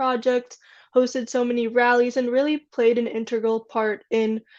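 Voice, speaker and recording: A woman with an American accent, high-pitched and monotone with flat intonation, at a moderate pace against a quiet background. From US Midwest, Michigan. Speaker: interviewer. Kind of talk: interview.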